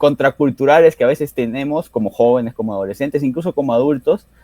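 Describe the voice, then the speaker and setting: Captured dry and close with no echo, a man speaks at a fairly high pitch with lively intonation. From Peru, Arequipa. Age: 30s. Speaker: author and university lecturer. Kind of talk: interview. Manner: halting, many fillers.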